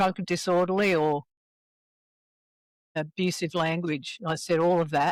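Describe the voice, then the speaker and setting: A woman with an Australian accent speaks in a flat monotone at very even loudness, taking long, frequent pauses, with a dry, close sound and no echo. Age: 70s. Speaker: recovering alcoholic. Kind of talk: interview.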